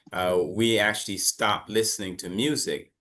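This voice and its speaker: Over a quiet background, a man in an American accent talks at a fairly quick pace with a bright, sharp tone. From United States. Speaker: English teacher. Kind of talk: online class lesson. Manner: casual, conversational.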